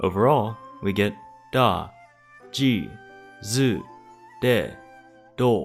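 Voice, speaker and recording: A man is speaking. Music plays in the background. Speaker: language teacher. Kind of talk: educational tutorial narration.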